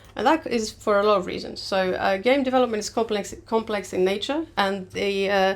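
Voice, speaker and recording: A woman with a Greek accent talks at a fairly quick pace. Her voice is fairly high, with ordinary pitch variation. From Greece. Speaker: game producer. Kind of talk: webinar presentation. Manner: hesitant, many fillers.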